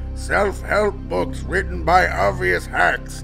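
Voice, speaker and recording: Over loud background music, a man performs a cartoonish character voice at a very slow pace. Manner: halting, grunting broken speech.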